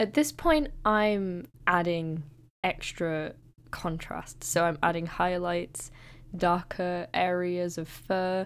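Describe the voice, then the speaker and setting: A woman mumbles very slowly in a fairly low pitch with ordinary pitch variation. The recording is very clean with a silent background. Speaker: digital artist. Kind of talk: narrated art process tutorial. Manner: hesitant, occasionally mumbling.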